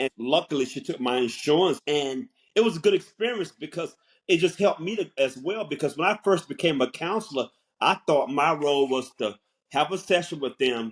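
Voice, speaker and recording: Speech with lively intonation moves at a fairly quick pace, in an American accent. The recording is very clean, with a silent background. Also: man, fairly high pitch for a man. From US South. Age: 60s. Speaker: counselor and podcast co-host. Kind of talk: casual chat. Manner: halting.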